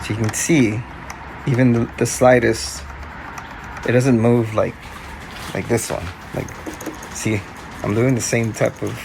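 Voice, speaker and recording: A man speaks at medium pitch and a moderate pace, with ordinary pitch variation. Music plays in the background. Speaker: DJ. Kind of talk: casual talk to camera.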